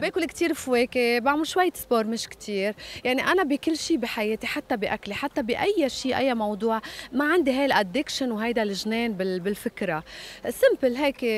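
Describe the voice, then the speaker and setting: A woman speaks at a moderate pace in a high voice with lively intonation, the sound dry with no echo. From Lebanon. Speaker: singer. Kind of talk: interview. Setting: hotel. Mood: lively, candid. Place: waterside. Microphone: handheld.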